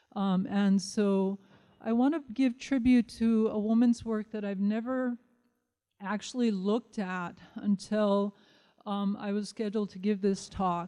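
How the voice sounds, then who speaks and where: A woman's dark, mellow voice at medium pitch, with a Lakota accent, fairly even intonation and a fairly slow pace. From Nebraska, near Pine Ridge Reservation. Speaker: professor. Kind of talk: lecture. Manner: frequent fillers (um, uh).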